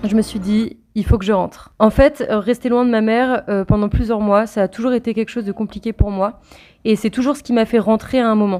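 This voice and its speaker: Music plays in the background as a woman speaks at a fairly high pitch with fairly even intonation. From Rouen, France. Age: 20s. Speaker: travel vlogger. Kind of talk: voice-over narration.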